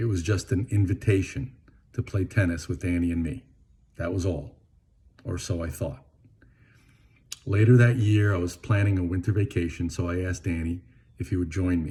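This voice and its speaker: A man with a very deep, low voice and a dark, mellow tone sounds somewhat breathy. He speaks at a moderate pace with ordinary pitch variation and long, frequent pauses. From Venezuela, Caracas. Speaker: eulogist, lifelong friend of the deceased. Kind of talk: eulogy.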